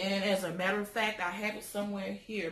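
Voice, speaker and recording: A woman's animated, bright and sharp voice at a moderate pace, with audible room echo. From US South. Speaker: lifestyle vlogger. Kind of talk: casual show-and-tell vlog. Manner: animated, chatty. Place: home room. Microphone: phone near.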